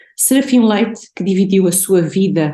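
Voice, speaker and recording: Female speech with a dark, mellow tone and ordinary pitch variation. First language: Portuguese (speaking Spanish). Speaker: art historian and researcher. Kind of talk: academic conference presentation. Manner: slow.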